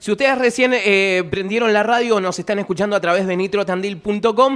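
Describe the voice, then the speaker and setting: In a Rioplatense accent, the speaker sounds animated, with ordinary pitch variation. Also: man. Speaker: radio host. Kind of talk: radio interview.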